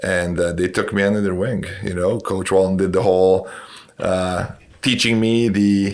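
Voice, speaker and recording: A man speaks at a moderate pace with a Romanian accent. His very deep, low voice stays monotone, with flat intonation. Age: 40s. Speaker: basketball coach and educator. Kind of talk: podcast interview.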